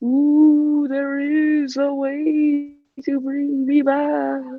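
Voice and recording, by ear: Someone does a put-on character voice at a high pitch and a very slow pace.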